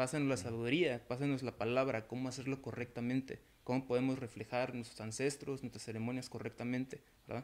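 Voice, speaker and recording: Flat, monotone delivery from a man at medium pitch and a fairly quick pace. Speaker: community organizer and artist. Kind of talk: casual panel discussion.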